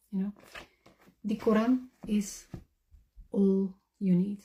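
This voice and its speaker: A woman's somewhat breathy, dark, mellow voice, fairly high in pitch, at a very slow pace. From Netherlands or Flanders. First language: Dutch. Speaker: convert to Islam. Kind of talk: testimony.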